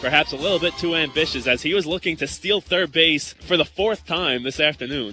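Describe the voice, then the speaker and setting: Music plays behind a man with a fairly high pitch. He speaks at a fairly quick pace with ordinary pitch variation. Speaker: sports play-by-play broadcaster. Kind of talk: baseball play-by-play.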